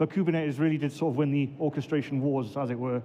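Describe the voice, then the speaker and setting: A man with a Welsh accent talks at a very fast pace with ordinary pitch variation. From Wales, Swansea. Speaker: database administrator, conference speaker. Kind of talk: conference talk.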